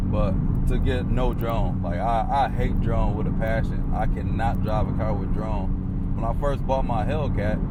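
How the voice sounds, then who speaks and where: A man's voice holds a very even loudness throughout. Room echo is audible, and there is noticeable background noise. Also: fairly slow pace. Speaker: car reviewer. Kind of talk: casual vlog review while driving. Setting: in a car. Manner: animated.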